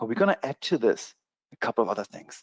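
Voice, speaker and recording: A man with a strong German accent talks at a fairly quick pace and a fairly high pitch, swinging very widely in pitch. The sound is dry and close, with no echo. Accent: thick German. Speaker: trading educator. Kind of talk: sales pitch. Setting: online webinar.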